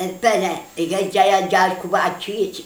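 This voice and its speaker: Against noticeable background noise, a woman speaks with a Neapolitan accent. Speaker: grandmother storyteller. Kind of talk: children's folk tale told at home.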